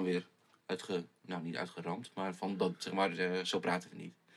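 A man speaks in a very deep, low pitch. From Groningen countryside, Netherlands. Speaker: pop musician. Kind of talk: casual chat.

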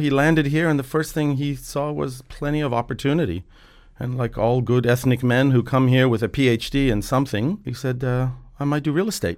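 There is music in the background as a man with an American accent talks. He speaks at a fairly quick pace with a medium pitch. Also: ordinary pitch variation. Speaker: property developer. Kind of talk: casual interview chat. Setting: studio.

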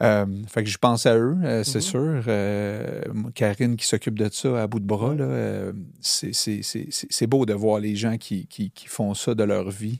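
Speech comes at a very slow pace in a Quebec accent. Pitch varies in an ordinary way. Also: man, fairly low pitch for a man. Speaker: podcast host. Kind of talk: casual interview chat. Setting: studio.

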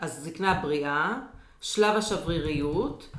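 A woman's fairly low voice carries lively intonation amid noticeable background noise and audible room echo. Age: 50s. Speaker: podcast host and business coach. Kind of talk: interview.

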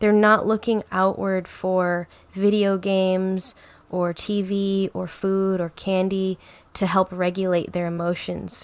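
A woman speaks at a very slow pace at a medium pitch. Her intonation is monotone and flat. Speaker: yoga instructor. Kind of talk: casual interview chat.

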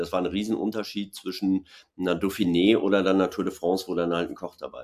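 A very deep, low male voice, monotone and flat, at a fairly quick pace. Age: 40s. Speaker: former pro cyclist and TV commentator. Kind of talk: casual webinar conversation. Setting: online webinar.

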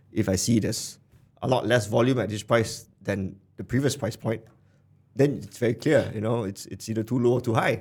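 With fairly level intonation, a man talks in a voice that is somewhat breathy. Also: medium pitch for a man, moderate pace. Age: 30s. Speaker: investor and former venture builder. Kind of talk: casual chat. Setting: studio. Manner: halting, many repeated words.

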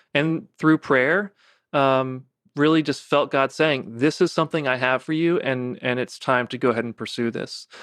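Against a quiet background, a man with a fairly high pitch and ordinary pitch variation is recorded with a dry, close sound and no echo. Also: moderate pace. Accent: American. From US South, Savannah, Georgia. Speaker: company founder and CEO. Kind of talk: interview conversation. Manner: halting, many fillers and restarts.

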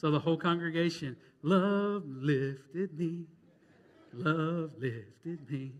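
A man talks with ordinary pitch variation and long, frequent pauses. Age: 30s. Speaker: pastor. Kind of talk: Baptist Sunday sermon, pastoral storytelling of a parishioner's grief and revival. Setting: church. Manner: earnest, building emotional preacher cadence; conversational with repetitions and fillers.

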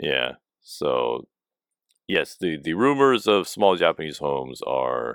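A man's very deep, low voice with vocal fry, very wide pitch swings, an American accent and a very slow pace. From United States. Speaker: podcast co-host. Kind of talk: casual chat. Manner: halting.

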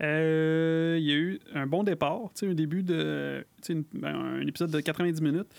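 A Quebec accent at a fairly slow pace. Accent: Québécois French. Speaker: podcast co-host. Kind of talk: casual chat.

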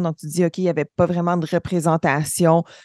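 A woman with a fairly low voice speaks at a moderate pace in a flat monotone, recorded very cleanly and dry and close with no echo against a silent background. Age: 30s. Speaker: aerospace engineer. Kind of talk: interview. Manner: hesitant fillers.

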